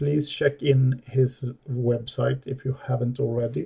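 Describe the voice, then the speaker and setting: In a very clean recording with a silent background, a man with a non-native accent speaks at a very slow pace in a dark, mellow, somewhat breathy tone. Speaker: DIY audio hobbyist. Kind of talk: tutorial. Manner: halting.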